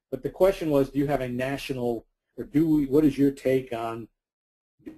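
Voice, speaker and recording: The voice has a dark, mellow tone and an American accent. Its intonation stays fairly even. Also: man. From US Northeast, New York City (Bronx). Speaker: recruiting expert presenting a webinar. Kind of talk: webinar presentation. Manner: fast.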